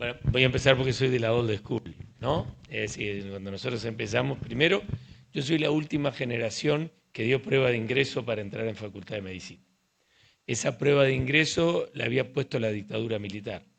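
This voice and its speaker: Speaking in an ordinary speaking voice, a man goes at a fairly quick pace with medium pitch and ordinary pitch variation. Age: 60s. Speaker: urology professor. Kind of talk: casual interview conversation.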